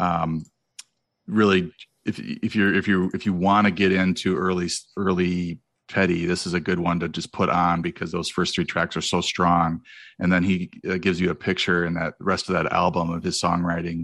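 Over a quiet background, a man with a very deep, low voice speaks at a moderate pace in a monotone, flat intonation. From Wisconsin, US Midwest. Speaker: fantasy football podcaster. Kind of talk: casual chat.

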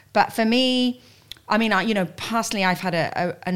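A woman speaks in an ordinary speaking voice. Her pace is moderate and her pitch varies an ordinary amount. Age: 50s. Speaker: corporate executive. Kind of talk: casual chat.

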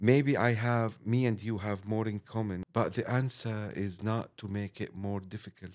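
A man with an Arabic accent talks at a moderate pace with fairly even intonation. He leaves hardly any pauses. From Syria, Damascus. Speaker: chef. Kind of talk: interview. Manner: halting.

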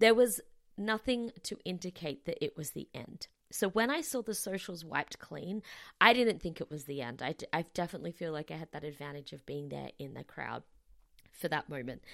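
Speaking fairly quickly with an Australian accent, a woman shows vocal fry, very wide pitch swings and big swings in loudness. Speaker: podcast host. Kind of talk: solo podcast monologue.

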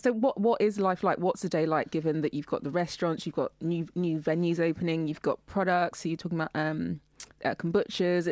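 A woman with a fairly low pitch speaks in an ordinary speaking voice, recorded with a dry, close sound and no echo. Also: ordinary pitch variation, fairly quick pace. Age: 30s. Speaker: radio host. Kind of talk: casual chat. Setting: radio studio.

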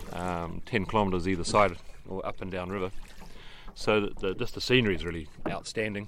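A man speaks with a New Zealand accent. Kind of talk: casual interview.

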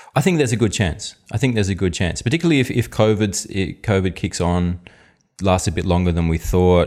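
In an Australian accent, a man with a fairly low pitch talks at a fairly quick pace with ordinary pitch variation. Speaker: economist, podcast co-host. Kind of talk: casual chat.

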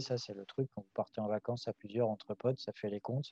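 With a dark, mellow tone, a man talks at a fairly quick pace with ordinary pitch variation, the sound dry and close with no echo. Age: 30s. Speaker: farmer and association president. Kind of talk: casual interview.

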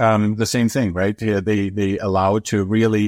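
Someone with a German accent speaks at a moderate pace on a very clean recording with a silent background, the sound dry and close with no echo. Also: man. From Germany. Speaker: professor. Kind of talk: interview. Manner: hesitant, frequent fillers and repetitions.

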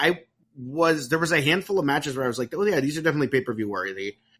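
With vocal fry and a bright, sharp tone, a man's voice makes very wide pitch swings. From not England. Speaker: podcast host. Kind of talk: casual chat.

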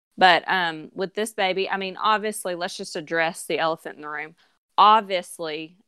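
Recorded very cleanly over a silent background, a woman with an American accent speaks at a moderate pace in a fairly low, bright, sharp voice, her intonation fairly even but her loudness swinging a lot. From US South. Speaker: podcast co-host, mother of four. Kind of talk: casual chat.

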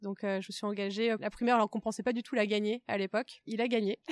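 A woman speaks at a fairly quick pace in a fairly high pitch. The sound is dry and close, free of echo. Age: 20s. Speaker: youth political organizer. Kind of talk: interview. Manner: hesitant fillers.

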